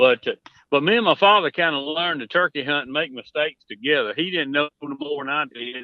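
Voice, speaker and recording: A man with a rural Southern US accent talks at a fairly quick pace. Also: fairly high pitch for a man, ordinary pitch variation. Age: 60s. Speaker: turkey hunting expert. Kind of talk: casual chat.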